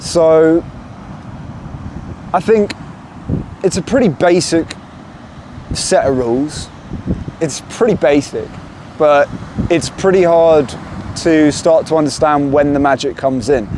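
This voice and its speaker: Noticeable background noise sits behind a man with a fairly high pitch and ordinary pitch variation. He speaks at a fairly slow pace with very even loudness. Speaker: self-help video maker. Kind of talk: motivational monologue. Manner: halting.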